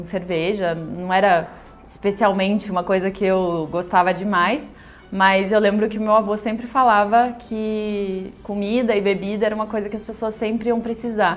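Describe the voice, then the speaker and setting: Music plays in the background as a woman speaks at a medium pitch and a moderate pace with fairly even intonation. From southern Brazil, Rio Grande do Sul interior and Porto Alegre. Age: 30s. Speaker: vegan pastry school founder. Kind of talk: personal life story interview.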